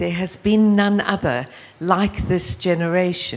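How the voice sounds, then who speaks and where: Here a woman talks with a South African accent. Her pitch is medium. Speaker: youth leadership organization founder. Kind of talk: panel discussion.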